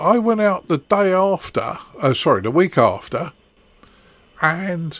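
This man talks at a moderate pace. His speech moves along evenly. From England, Kent. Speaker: amateur radio podcast host. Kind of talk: casual chat.

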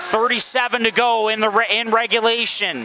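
Over noticeable background noise, a man talks in a raised, projected voice. His pitch is high, his pace fairly slow, and his intonation fairly even. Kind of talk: live hockey play-by-play commentary.

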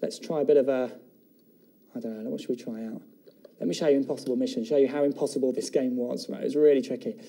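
A man talks at a very fast pace in a fairly high pitch with a dark, mellow tone. His intonation is lively, his loudness swings widely, and the background is quiet. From England. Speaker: TV shopping presenter. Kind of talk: TV shopping channel product presentation. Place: studio.

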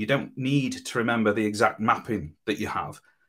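A man speaks with vocal fry. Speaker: web developer. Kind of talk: conference talk.

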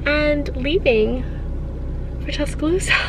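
Noticeable background noise runs under the speech. The pace is moderate, and the sound is dry with no echo. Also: woman. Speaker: vlogger. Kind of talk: casual vlog chat. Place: car. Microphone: phone near.

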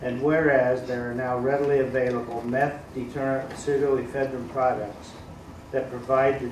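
A man with an American accent speaks at a moderate pace in a flat, monotone way. Noticeable background noise and audible room echo fill the recording. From US Midwest. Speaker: city councilman. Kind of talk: reading aloud. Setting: public meeting. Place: meeting room. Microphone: podium.

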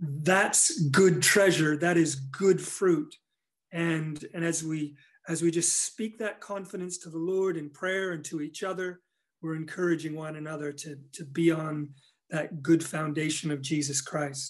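With fairly even intonation, a man speaks at a fairly slow pace. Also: quiet background. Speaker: pastor. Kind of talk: sermon. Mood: earnest, encouraging. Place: home room. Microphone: phone near.

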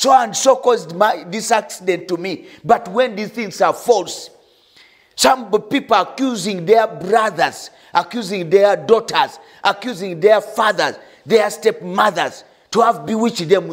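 A man's high voice at a fairly slow pace, with ordinary pitch variation, against a quiet background. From Uganda. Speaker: pastor. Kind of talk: sermon; prayer. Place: studio. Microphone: lapel.

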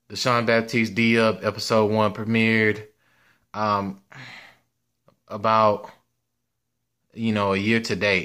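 In a quiet background, a man with a fairly low pitch and a bright, sharp tone speaks with long, frequent pauses. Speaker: sports channel creator. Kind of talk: casual vlog chat. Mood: grateful, relaxed. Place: home room. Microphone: phone near.

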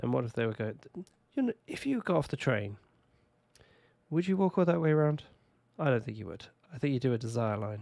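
A man with a British accent talks at a very fast pace with lively intonation and long, frequent pauses. His pitch is medium and his tone dark and mellow. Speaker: video game streamer. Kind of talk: casual gameplay commentary. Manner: casual, chatty.

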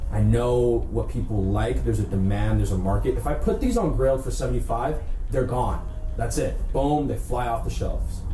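Through light background noise and audible room echo, a man speaks at a fairly quick pace. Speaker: vintage clothing reseller. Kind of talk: casual haul vlog chat. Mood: enthusiastic, relaxed. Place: home room. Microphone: camera far.

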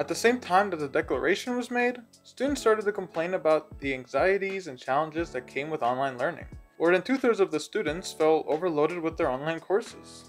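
Over faint background music, a man with a high pitch speaks at a fairly quick pace. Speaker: presenter. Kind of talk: informational presentation. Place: home room. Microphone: phone near.

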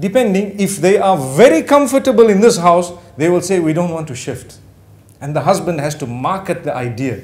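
A man's voice with very wide pitch swings. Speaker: speaker. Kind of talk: informal talk to an audience. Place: home room. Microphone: lapel.

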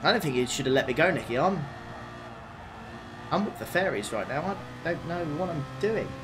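Over noticeable background noise and audible room echo, a man with a fairly high pitch and lively intonation talks at a fairly quick pace broken by long, frequent pauses. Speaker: sim racing streamer. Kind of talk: live gameplay commentary. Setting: live stream. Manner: animated.

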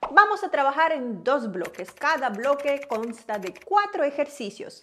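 A woman speaks fairly slowly in a raised, projected voice. Light background noise can be heard. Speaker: fitness coach. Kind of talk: tutorial intro to camera. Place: home room. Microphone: lapel.

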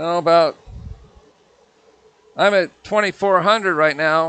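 A man's high-pitched voice with fairly even intonation and a dry sound with no echo. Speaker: woodturner demonstrating. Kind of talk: tutorial. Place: workshop.

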